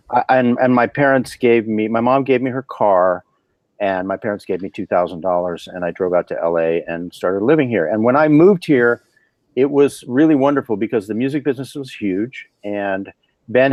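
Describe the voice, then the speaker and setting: An unremarkable speaking voice, this man's has medium pitch, an American accent, lively intonation and a moderate pace. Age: 50s. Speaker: session guitarist. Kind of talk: casual interview.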